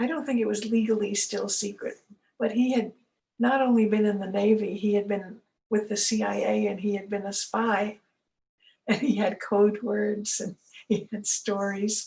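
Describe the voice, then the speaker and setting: A woman with an American accent talks at a moderate pace and medium pitch. Her voice is somewhat breathy, with monotone, flat intonation. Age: 80s+. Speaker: elder giving a talk / storyteller. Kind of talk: casual talk to camera, autobiographical storytelling.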